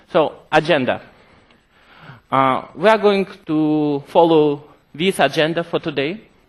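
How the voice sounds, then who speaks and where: Speaking with a Russian accent, a man talks at a fairly slow pace in a fairly high pitch, with ordinary pitch variation and long, frequent pauses. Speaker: software developer presenting product features. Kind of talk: conference presentation. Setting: stage with audience.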